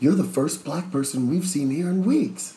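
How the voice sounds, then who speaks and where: A man's put-on character voice, fairly high in pitch, with ordinary pitch variation at a moderate pace. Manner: excited.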